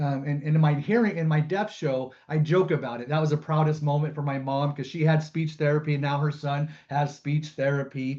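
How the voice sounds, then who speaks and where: The tone is dark and mellow, somewhat breathy, with fairly even intonation. The pace is fairly quick. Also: man, fairly high pitch for a man. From US West Coast, San Jose, California. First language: American Sign Language. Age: 50s. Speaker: comedian. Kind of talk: webinar talk. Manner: halting, with fillers.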